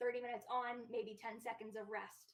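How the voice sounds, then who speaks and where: This woman speaks at a fairly high pitch. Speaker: professional dog trainer. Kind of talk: educational discussion.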